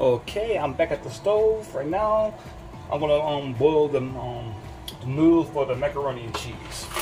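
Behind a man's voice, clear music plays. He keeps a moderate pace. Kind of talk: casual cooking vlog chat. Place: kitchen. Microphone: phone near.

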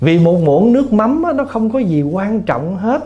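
A man with a dark, mellow tone talks at a moderate pace while his pitch swings very widely. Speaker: Buddhist monk. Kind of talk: dharma talk answering questions. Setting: temple hall with audience. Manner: humorous.

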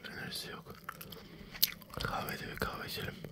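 Loud background noise competes with a male speaker. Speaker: gamer. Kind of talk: casual gaming commentary. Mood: joking, mildly exasperated.

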